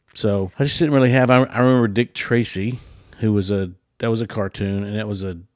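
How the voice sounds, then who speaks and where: An unremarkable speaking voice from a man, fairly low in pitch, with fairly even intonation at a moderate pace on a very clean recording with a silent background. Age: 60s. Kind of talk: casual chat.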